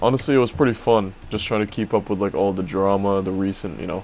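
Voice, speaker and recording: A man talks at a very fast pace and a fairly low pitch. Music plays in the background. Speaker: daily vlogger. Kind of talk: casual vlog chat. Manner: monotone. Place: home room.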